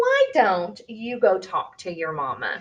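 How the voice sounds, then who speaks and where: The put-on character voice moves along at a fairly slow pace. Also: woman. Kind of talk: bedtime story. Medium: read story.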